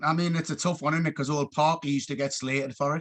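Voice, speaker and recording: Very fast speech from a man with a Geordie accent, fairly high pitch and fairly even intonation. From northeast England, Gateshead. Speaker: youth football coach. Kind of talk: casual chat.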